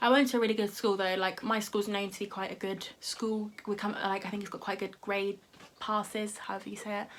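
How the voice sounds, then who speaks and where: Against noticeable background noise, a woman speaks fairly quickly at medium pitch in a monotone, flat delivery with big swings in loudness. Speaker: YouTuber. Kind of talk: casual chat. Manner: fast; halting.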